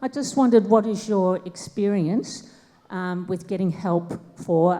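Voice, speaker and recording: This is a normal speaking voice whose pitch varies in an ordinary way. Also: woman. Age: 60s. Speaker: audience member asking question. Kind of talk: audience question.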